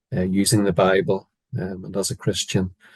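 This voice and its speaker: This man's pitch sits fairly low. The sound is dry and close, with no echo. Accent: Northern Irish. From Northern Ireland. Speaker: biblical counsellor, former psychiatrist. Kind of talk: interview. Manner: hesitant, many fillers.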